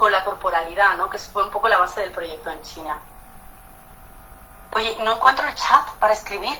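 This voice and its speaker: A woman speaks at a moderate pace with lively intonation. Noticeable background noise is present. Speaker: architect. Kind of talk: talk in an online panel. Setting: video call. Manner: animated.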